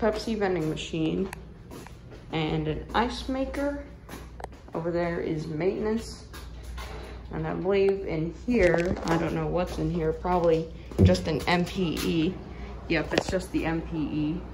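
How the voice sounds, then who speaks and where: A woman speaking at a very slow pace, with long, frequent pauses and noticeable background noise. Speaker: hotel tour vlogger. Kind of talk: casual tour narration. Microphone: phone near.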